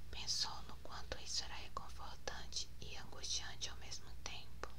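A woman whispers over noticeable background noise. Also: moderate pace. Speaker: author. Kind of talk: ASMR reading of own novel. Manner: whispered. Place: home room.

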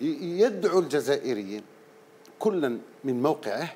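A man's fairly high-pitched voice with a dark, mellow tone and light background noise. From Algeria. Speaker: panelist, former civil servant; panelist. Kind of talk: TV panel discussion. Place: studio. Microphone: lapel.

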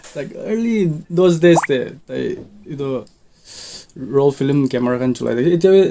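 Through noticeable background noise, a man with a fairly high pitch talks at a moderate pace with lively intonation. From Mokokchung, Nagaland, India. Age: young. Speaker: photographer. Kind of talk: interview. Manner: halting. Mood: relaxed, smiling, laughing. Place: office. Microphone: headset.

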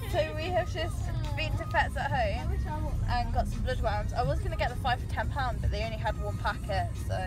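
A woman talks at a moderate pace with crowd noise in the background. The sound is dry with no echo. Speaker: vlogger. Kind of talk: casual vlog chat. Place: car. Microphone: phone near.

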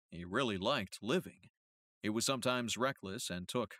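Against a quiet background, the text is being read aloud in a natural voice.

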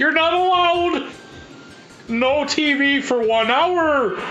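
A put-on character voice moves at a very slow pace with clear background noise. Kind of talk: old-fashioned. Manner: stern, strict, mock-authoritative.

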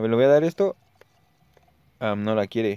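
A man speaks in a dark, mellow tone with very wide pitch swings. The sound is dry and close, with no echo. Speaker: gaming youtuber. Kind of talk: gameplay commentary. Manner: casual, chatty.

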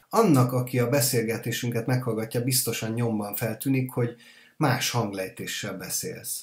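A man speaks at a moderate pace with a medium pitch and a somewhat breathy voice. His intonation stays fairly even. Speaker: podcast host. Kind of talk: interview.

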